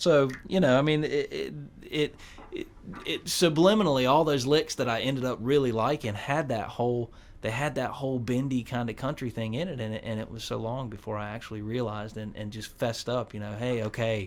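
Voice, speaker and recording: This man has a North Carolina accent. His pace is fairly quick, and his pitch varies in an ordinary way. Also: medium pitch for a man. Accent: North Carolina Southern. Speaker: guitarist. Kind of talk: casual interview. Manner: halting, many repeated words.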